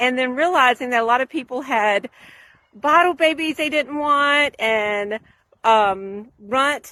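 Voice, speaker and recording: A woman's raised, projected voice, high-pitched with a bright, sharp tone, at a fairly slow pace. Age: 50s. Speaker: small farmer. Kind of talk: casual tutorial. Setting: outdoors. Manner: conversational, with many fillers.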